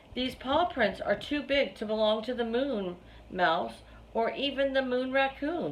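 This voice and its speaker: A woman's put-on character voice at a high pitch, moderate pace, and clear background noise. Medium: read story.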